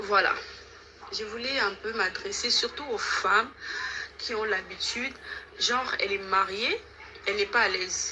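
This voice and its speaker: A woman with a non-native accent, fairly high-pitched and fairly even in intonation, at a fairly slow pace with long, frequent pauses, over noticeable background noise. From DR Congo, Kinshasa. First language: not French (speaking French). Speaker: caller giving testimony. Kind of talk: testimony.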